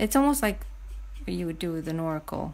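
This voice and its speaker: A woman speaks with a non-native accent. Her tone is relaxed. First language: not English. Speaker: painter. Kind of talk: live painting stream, casual chat; casual live-stream chat answering viewer comments. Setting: live Instagram stream. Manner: relaxed, halting, many fillers. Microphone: phone near.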